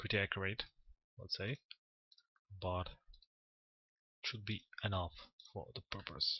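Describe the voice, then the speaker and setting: A man's fairly low pitch with a non-native accent, fairly even intonation, a fairly slow pace and long, frequent pauses. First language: not English. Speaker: 3D modelling tutor. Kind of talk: tutorial. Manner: halting, with many fillers.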